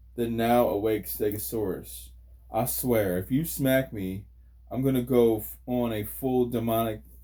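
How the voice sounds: Fairly even intonation in a natural reading voice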